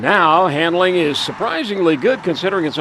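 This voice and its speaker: Against noticeable background noise, a man speaks very fast in a high-pitched voice. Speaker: television news anchor and auto reviewer. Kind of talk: car review voiceover with wry humor. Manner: wry, jokey, sarcastic.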